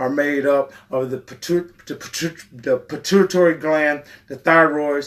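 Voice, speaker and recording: A man speaks with a fairly high pitch. His intonation is fairly even. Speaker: fitness channel host. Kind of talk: casual educational talk on a livestream. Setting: live stream. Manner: fast.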